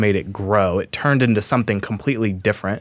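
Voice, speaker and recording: On a very clean recording with a silent background, a man with an American accent uses an ordinary speaking voice, fairly low in pitch with ordinary pitch variation. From Washington State, US Pacific Northwest. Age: 30s. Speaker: podcast host. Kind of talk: casual book discussion.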